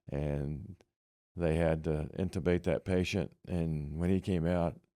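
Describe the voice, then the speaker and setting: A man with a Midwestern US accent speaks in a very deep, dark, mellow voice at a fairly slow pace with fairly even intonation and very even loudness. The recording is very clean, with a silent background. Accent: US Midwest. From Kansas. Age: 80s+. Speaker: Vietnam veteran. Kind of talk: oral history interview. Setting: library. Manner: halting.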